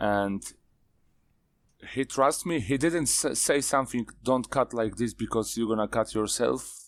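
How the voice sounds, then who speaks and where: On a very clean recording with a silent background, a man of medium pitch with a Polish accent speaks at a fairly slow pace with ordinary pitch variation, very even loudness and long, frequent pauses. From Poland. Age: 40s. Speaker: knife maker. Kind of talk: casual chat.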